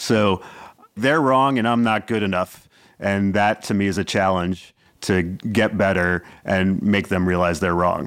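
A man with an unremarkable speaking voice talks at a fairly slow pace and a fairly low pitch with ordinary pitch variation. The recording is very clean with a silent background, and his loudness stays very even. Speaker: comedian and founder. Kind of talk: casual reflective chat.

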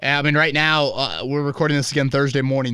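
A man talks very fast with a slight Indiana accent and a bright, sharp tone. The recording is very clean, with a silent background. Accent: slight Indiana twang. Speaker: sports podcast host. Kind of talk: casual chat.

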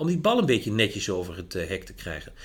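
Fairly quick and marked by vocal fry, a man's fairly high voice moves through very wide pitch swings. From Netherlands, Achterhoek. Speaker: management drives consultant. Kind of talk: podcast interview.

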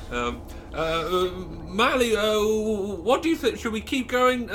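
A put-on character voice from a man, high in pitch, at a moderate pace, with clear background noise. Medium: actual play. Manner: stammering, hesitant.

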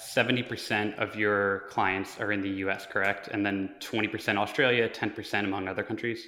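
At a moderate pace, a man speaks with a fairly low pitch and a bright, sharp tone. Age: 20s. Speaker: podcast host. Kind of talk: interview.

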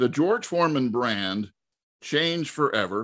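A man talks at a moderate pace in a plain, everyday voice. The recording is very clean with a silent background. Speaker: podcast host. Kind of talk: interview.

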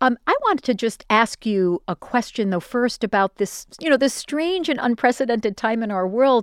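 Speaking in an ordinary speaking voice, a woman with a fairly high pitch talks at a moderate pace with lively intonation and hardly any pauses, in a dry, close sound with no echo. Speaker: radio host. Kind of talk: interview conversation. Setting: video call.

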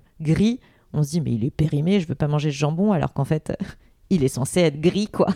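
The tone is dark and mellow. The recording is very clean, with a silent background and a dry, close sound with no echo. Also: woman. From Paris region (Seine-Saint-Denis). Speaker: health coach and influencer. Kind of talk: casual interview chat. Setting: at home.

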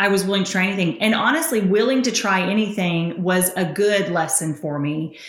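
The woman talks at a moderate pace with ordinary pitch variation. Her voice sits at a medium pitch. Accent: Southern US. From Tennessee, US South. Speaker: entrepreneur and author. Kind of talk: casual interview, storytelling.

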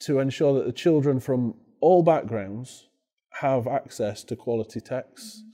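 A man's medium-pitched, dark and mellow voice with a Yorkshire accent, moderate in pace and lively in intonation. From northern England. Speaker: head teacher. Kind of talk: interview. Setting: education conference.

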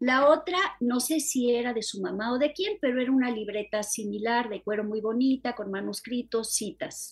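A woman's high-pitched voice at a moderate pace, with ordinary pitch variation, hardly any pauses, and music in the background. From Mexico City. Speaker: novelist and poet. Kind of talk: interview.

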